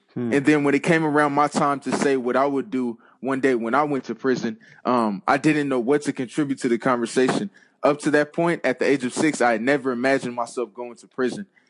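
At a fairly quick pace, a man with an ordinary speaking voice talks at a medium pitch with fairly even intonation. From US West Coast (Compton, Los Angeles). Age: 20s. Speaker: former college football player and author. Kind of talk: interview.

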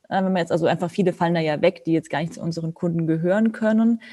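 With a dark, mellow tone, a woman speaks at a fairly low pitch. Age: 30s. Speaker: model agency founder, photographer and psychologist. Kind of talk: podcast interview.

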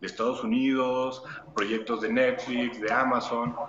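A normal speaking voice from a man, medium in pitch, with ordinary pitch variation and a fairly slow pace. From Torreón, northern Mexico (La Laguna). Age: 30s. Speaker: stunt actor. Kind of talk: interview.

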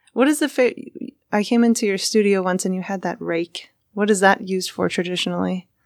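An unremarkable speaking voice belongs to a woman with medium pitch. She goes at a fairly quick pace with ordinary pitch variation. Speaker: interviewer. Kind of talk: casual interview chat. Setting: radio studio.

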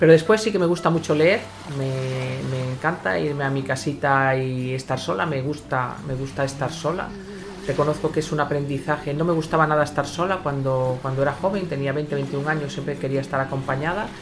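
A woman speaks at a fairly quick pace with a very deep, low pitch. Room echo is audible and background noise is noticeable. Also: ordinary pitch variation. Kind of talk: casual chat.

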